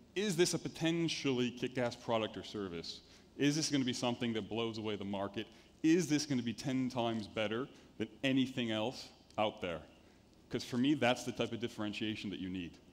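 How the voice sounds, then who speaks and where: In a plain, everyday voice, a man with an American accent speaks at medium pitch and a fairly quick pace, with ordinary pitch variation. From United States. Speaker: venture capital investor. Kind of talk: conference talk. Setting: stage with audience.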